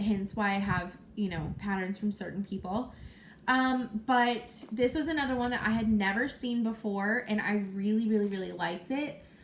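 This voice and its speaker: Somewhat breathy, a woman talks at a fairly slow pace with fairly high pitch and ordinary pitch variation. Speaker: cross-stitch video blogger. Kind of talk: casual chat. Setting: at home.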